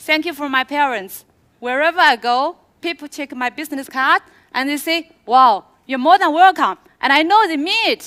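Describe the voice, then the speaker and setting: A woman's high, bright, sharp voice with a Chinese accent, lively intonation, a moderate pace and a dry, close sound with no echo. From China, Suzhou. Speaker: product presenter. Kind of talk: product launch presentation. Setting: stage with audience.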